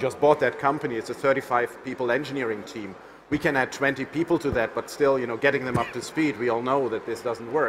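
With music in the background, a man talks fairly quickly. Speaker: tech company evangelist. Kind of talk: panel discussion. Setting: conference stage with live audience. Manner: passionate, animated. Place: stage.

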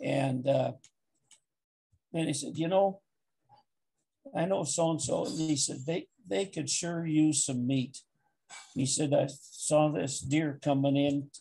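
Somewhat breathy, with a dark, mellow tone, a man of fairly high pitch talks at a fairly slow pace, using ordinary pitch variation and long, frequent pauses. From Wyoming. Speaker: interviewee. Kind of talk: oral history interview answer. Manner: hesitant, conversational storytelling. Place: home room. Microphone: video call.

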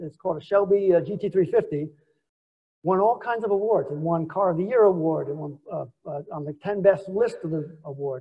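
In a New York accent, a man speaks at a high pitch and moderate pace with ordinary pitch variation. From New York City (Queens). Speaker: business executive. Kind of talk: lecture. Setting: stage with audience.

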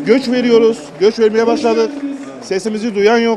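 A man speaks at an extremely high pitch, with ordinary pitch variation and a moderate pace. The sound is dry with no echo, and background noise is noticeable. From Turkey. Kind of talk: complaint to politician. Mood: worried, pleading. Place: street.

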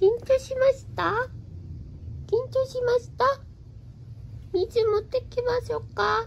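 With clear background noise, a woman does a cartoonish character voice at an extremely high pitch and a fairly slow pace. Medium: puppet show. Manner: shy, self-doubting when confessing.

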